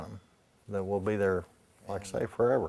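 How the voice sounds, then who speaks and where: Monotone, flat intonation marks this man's fairly low voice. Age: 60s. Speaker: artist. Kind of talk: interview.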